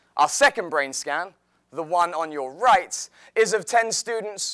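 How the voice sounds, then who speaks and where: A man speaks at a fairly slow pace with an English accent and a bright, sharp tone. The recording is very clean, with a silent background. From England, outside London. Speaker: health and fitness teacher. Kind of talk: presentation talk.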